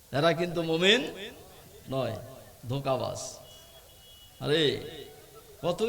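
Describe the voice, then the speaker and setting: Noticeable background noise and audible room echo accompany a man speaking at a fairly high pitch with ordinary pitch variation. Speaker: Islamic preacher. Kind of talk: sermon. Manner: loud, rousing with crowd call-and-response.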